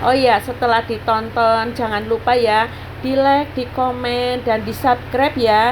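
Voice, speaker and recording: A woman speaks fairly slowly in a high pitch, her intonation monotone and flat. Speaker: housewife vlogger. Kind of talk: budgeting vlog narration. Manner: casual, chatty.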